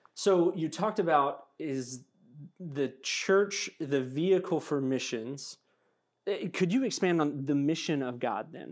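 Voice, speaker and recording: With a normal speaking voice, a man of fairly high pitch talks at a fairly slow pace with ordinary pitch variation against a quiet background. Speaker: seminary administrator and student, podcast host.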